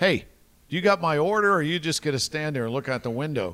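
Over a very clean recording with a silent background, a man with an American accent and an ordinary speaking voice talks at a fairly quick pace, fairly high in pitch, with lively intonation. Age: 60s. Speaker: radio host. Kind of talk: casual chat.

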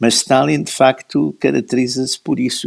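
The speaker's pitch swings very widely at a moderate pace. The sound is dry and close, with no echo. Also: man. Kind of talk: history discussion.

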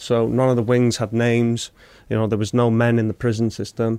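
With a North Welsh accent, a man talks at medium pitch in a dry, close sound with no echo. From Wales, Wrexham. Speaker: war veteran. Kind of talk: casual chat.

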